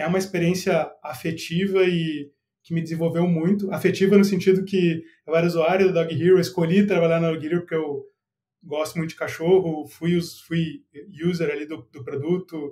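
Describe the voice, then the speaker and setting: At a moderate pace, a man speaks at a high pitch with a dark, mellow tone and monotone, flat intonation. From southern Brazil, Porto Alegre. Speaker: product manager. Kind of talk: podcast interview. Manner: casual, relaxed.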